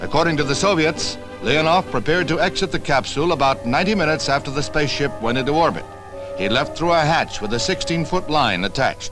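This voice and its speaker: Music plays in the background as a man speaks. His voice is fairly high in pitch and his pace very fast. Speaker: newsreel narrator. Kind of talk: vintage newsreel narration.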